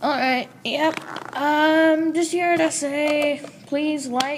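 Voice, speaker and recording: A woman talks at a very slow pace. Noticeable background noise can be heard behind her. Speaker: channel owner, card game youtuber. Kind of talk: casual video outro.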